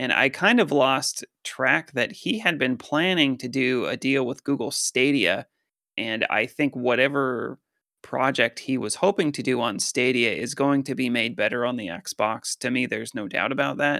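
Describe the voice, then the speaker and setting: Recorded very cleanly against a silent background, with a dry, close sound and no echo, a man with an American accent speaks at a moderate pace in a medium pitch, with ordinary pitch variation and a bright, sharp tone. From Colorado. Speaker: gaming podcast co-host. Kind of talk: casual chat. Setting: headset.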